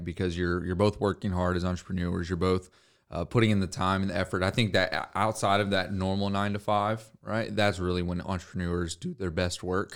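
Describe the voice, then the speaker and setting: On a very clean recording with a silent background, the speaker uses fairly even intonation with a Southern US accent. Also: man. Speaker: podcast host. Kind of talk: interview. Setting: studio.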